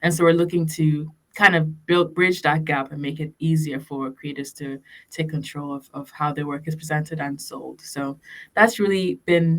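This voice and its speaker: The speaker is a woman with a fairly low pitch. She keeps a moderate pace, and her loudness swings a lot. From Ghana, Canada and UK. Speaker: startup founder and CEO. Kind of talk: podcast interview. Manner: hesitant, many fillers.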